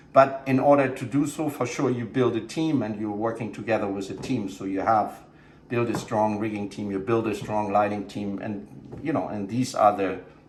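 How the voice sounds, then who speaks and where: There's audible room echo and noticeable background noise as a man talks at a moderate pace, his pitch fairly low with ordinary variation. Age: 50s. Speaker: show production director. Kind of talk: casual interview. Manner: halting, many fillers and repeats.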